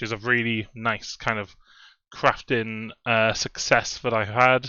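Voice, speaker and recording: A man with a Welsh accent at a fairly slow pace. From Wales. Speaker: fantasy football content creator. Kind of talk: casual video commentary. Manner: hesitant, many fillers.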